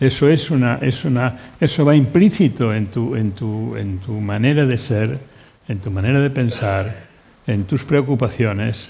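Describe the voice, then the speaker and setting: A man speaks at a fairly slow pace in a medium pitch, with ordinary pitch variation. His voice is somewhat breathy, with a dark, mellow tone. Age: 80s+. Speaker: painter. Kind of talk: panel discussion. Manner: halting, many repetitions.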